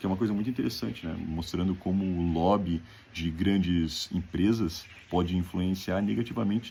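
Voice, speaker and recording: This man's pitch sits very deep and low. Its variation is ordinary. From Brazil, Rio Grande do Sul (Novo Hamburgo). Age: 20s. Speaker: graduate student. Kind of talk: self-presentation video for an application.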